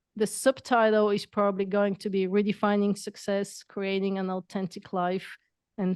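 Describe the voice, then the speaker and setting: A woman speaks with a non-native accent. The sound is dry and close with no echo, and the background is quiet. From Bulgaria. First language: not English. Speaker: entrepreneur and coach. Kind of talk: podcast interview.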